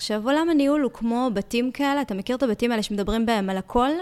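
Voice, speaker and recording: The woman's pitch sits fairly high. Her intonation is lively. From Israel, Ashkelon. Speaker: podcast host. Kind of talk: interview.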